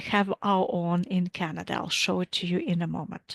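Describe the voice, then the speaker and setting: A woman with a Latvian accent speaks at a moderate pace. The sound is dry and close with no echo, against a quiet background. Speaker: physics professor. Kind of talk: lecture.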